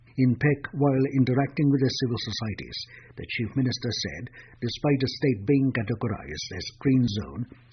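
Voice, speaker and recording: There is vocal fry in this man's medium-pitched voice, which moves at a moderate pace with ordinary pitch variation. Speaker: radio newsreader. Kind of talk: radio news bulletin.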